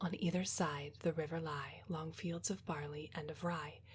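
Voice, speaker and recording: A soft-spoken woman talks at a fairly slow pace with a fairly low pitch. Her voice is somewhat breathy, with ordinary pitch variation. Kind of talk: poetry reading, quiet relaxation ASMR reading. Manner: quiet, soft-spoken.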